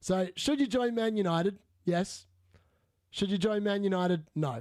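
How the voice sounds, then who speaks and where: A man with a high pitch and an animated tone, lively intonation, very even loudness and a moderate pace. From Australia. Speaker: fantasy football streamer. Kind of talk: live stream Q&A. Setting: live stream.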